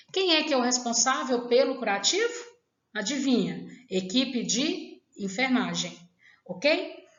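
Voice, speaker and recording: Her voice high and her pitch swinging very widely, a woman talks at a fairly slow pace amid audible room echo. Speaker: nursing teacher. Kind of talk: lecture.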